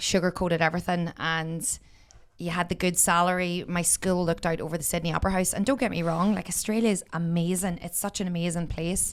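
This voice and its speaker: With a Northern Irish accent, a woman speaks at a fairly low pitch in a very clean recording with a silent background. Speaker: podcaster and former teacher living abroad. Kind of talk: casual chat. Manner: animated.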